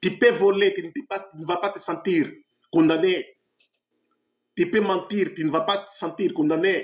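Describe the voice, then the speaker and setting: Pausing long and often, a man with a high pitch speaks at a fairly slow pace, his intonation fairly even but his loudness swinging widely. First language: Portuguese (speaking French). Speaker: evangelist preacher. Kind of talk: sermon. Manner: impassioned, exhortative.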